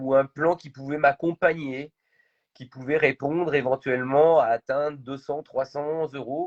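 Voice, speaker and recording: A man speaks at a very slow pace in a fairly high voice, the sound dry and close with no echo. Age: 40s. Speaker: entrepreneur. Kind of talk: interview. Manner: hesitant, many fillers.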